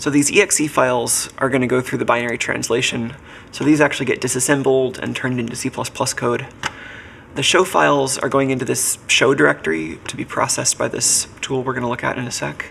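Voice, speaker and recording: The speech comes at a very fast pace with ordinary pitch variation over noticeable background noise. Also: man, medium pitch for a man. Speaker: programmer live-streaming electronics and reverse engineering. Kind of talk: casual live-stream coding talk.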